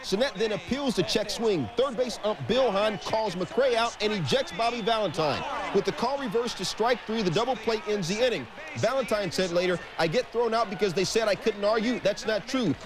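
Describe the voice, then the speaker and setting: Over noticeable background noise, a man with a high voice speaks at a fairly quick pace, keeping his loudness very even and his pitch variation ordinary. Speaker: sports highlights anchor. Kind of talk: baseball highlights narration. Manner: jokey, playful delivery.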